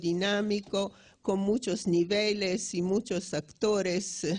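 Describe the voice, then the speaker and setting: Speaking with an Italian accent, a woman has a medium-pitched, dark, mellow tone that sounds somewhat breathy. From Italy. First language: Italian (speaking Spanish). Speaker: economics professor. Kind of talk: lecture. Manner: halting, many restarts.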